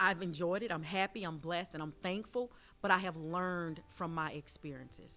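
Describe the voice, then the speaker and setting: A woman's fairly low voice with a Southern US accent, bright and sharp in tone, fairly even in intonation, at a moderate pace. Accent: Southern US twang. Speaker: university athletic director. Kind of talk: interview.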